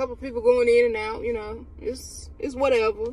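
A woman talks at a moderate pace in a dry recording with no echo. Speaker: vlogger on work break. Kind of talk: casual vlog chat. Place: car. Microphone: phone near.

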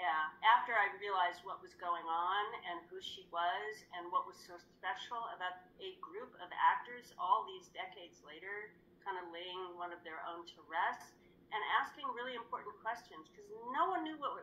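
With a bright, sharp tone, a woman talks at a moderate pace, her pitch varying in an ordinary way while her loudness swings widely. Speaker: guest. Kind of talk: interview answer. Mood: reflective, earnest. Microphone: video call.

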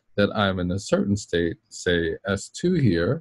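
A man is recorded with a dry sound, no echo and a quiet background. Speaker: university lecturer. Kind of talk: lecture. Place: office.

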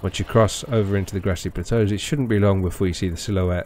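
With a British accent, a man delivers his words at a moderate pace. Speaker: gaming YouTuber. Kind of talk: game guide narration.

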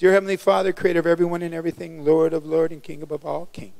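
Against a quiet background, a man talks at a very fast pace in a high pitch. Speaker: preacher. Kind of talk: sermon. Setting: church with live congregation. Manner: animated call-and-response preacher, urging the congregation to repeat lines aloud; fast, exuberant delivery. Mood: calm prayer tone. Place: church. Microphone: handheld.

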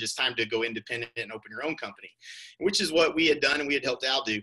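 Against a quiet background, the voice goes at a very fast pace with a bright, sharp tone. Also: man. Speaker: real estate coach presenter. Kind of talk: webinar presentation. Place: home room. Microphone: webcam.

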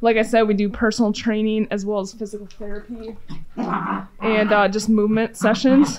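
Noticeable background noise runs through the recording. Over it, a woman talks at a moderate pace. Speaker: chiropractor. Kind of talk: casual vlog chat. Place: gym. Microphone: phone near.

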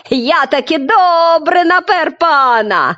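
Putting on a character voice at an extremely high pitch, a woman talks at a fairly slow pace. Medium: read story.

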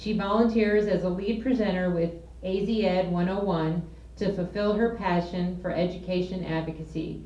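Fairly even intonation at a moderate pace, with audible room echo. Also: woman. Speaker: volunteer board member. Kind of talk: speaker introduction. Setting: stage with audience. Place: meeting room. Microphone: handheld.

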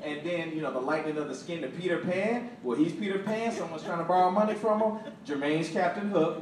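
Noticeable background noise and audible room echo around a man whose pitch varies in an ordinary way. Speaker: stand-up comedian. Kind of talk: stand-up comedy set. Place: stage. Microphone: pa.

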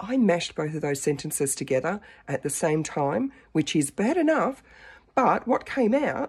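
A woman with vocal fry and very wide pitch swings, at a fairly slow pace against a quiet background. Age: 50s. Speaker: dating vlogger. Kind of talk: casual talk to camera. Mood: animated, self-mocking storytelling. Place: home room. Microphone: phone near.

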